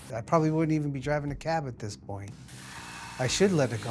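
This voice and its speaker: Noticeable background noise and audible room echo surround this man's voice. His pitch variation is ordinary. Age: 40s. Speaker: cab driver. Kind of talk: documentary interview.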